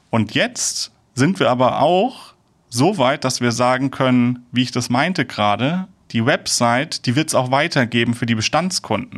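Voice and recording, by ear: Speaking at a fairly slow pace with few pauses, a man uses a medium pitch and lively intonation.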